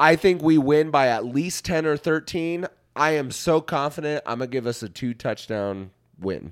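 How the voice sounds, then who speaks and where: On a very clean recording with a silent background, a man with an American accent speaks at a moderate pace in a fairly high voice with lively intonation. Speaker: podcast host. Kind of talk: casual chat.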